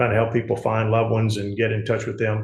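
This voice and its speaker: Somewhat breathy, a man with a Mississippi accent speaks at a medium pitch and a fairly quick pace. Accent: Southern US (Mississippi). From US South, Gulfport, Mississippi. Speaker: politician and insurance agent. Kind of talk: interview. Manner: halting, many fillers.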